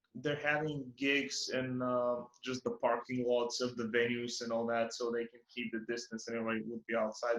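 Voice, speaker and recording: The voice belongs to a man speaking at a medium pitch. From Bulgaria. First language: Bulgarian. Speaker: podcast host. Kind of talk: casual chat. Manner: halting, many fillers and repeats.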